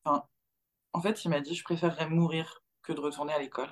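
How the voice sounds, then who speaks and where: A woman at a fairly low pitch and a fairly quick pace. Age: 30s. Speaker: mother sharing her experience. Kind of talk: testimony.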